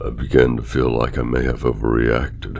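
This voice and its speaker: The speech moves at a fairly slow pace with noticeable background noise. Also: man. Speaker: horror story narrator. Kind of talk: horror story reading.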